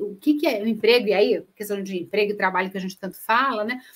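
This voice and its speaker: A woman speaks with a Minas Gerais accent. Her intonation is lively. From Minas Gerais, Brazil. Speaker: speaker on corporate sustainability. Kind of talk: webinar presentation. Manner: hesitant, many fillers.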